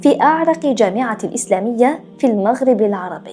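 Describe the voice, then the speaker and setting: Over music in the background, a woman talks with lively intonation at a fairly high pitch. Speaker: storyteller. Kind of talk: history documentary narration.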